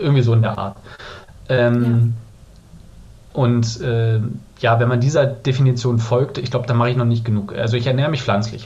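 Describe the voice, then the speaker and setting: Audible room echo surrounds a man speaking at medium pitch and a moderate pace, in a monotone, flat intonation. Long, frequent pauses break up his speech. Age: 30s. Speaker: podcast guest, recent vegan. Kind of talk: casual interview chat.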